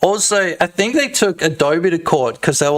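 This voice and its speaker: A man with an Australian accent, lively intonation and an animated tone at a moderate pace. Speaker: game developer streamer. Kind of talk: live stream commentary. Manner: loud.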